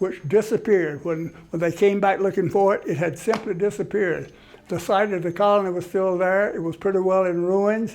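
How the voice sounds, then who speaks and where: At a fairly quick pace, a man talks at a high pitch with fairly even intonation. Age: 80s+. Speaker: history lecturer at a senior center. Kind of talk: lecture. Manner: halting, with frequent restarts.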